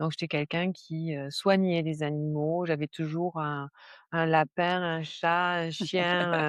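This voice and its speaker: Against a quiet background, a woman speaks very slowly in a fairly low pitch, with monotone, flat intonation and a dry, close sound with no echo. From southern France (Var). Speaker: stress management coach, former nurse. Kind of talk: podcast interview. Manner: hesitant, many fillers.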